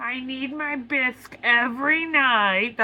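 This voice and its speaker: Somewhat slowly, someone performs in an affected character voice. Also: female-sounding voice, high pitch for a woman. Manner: put-on character voice.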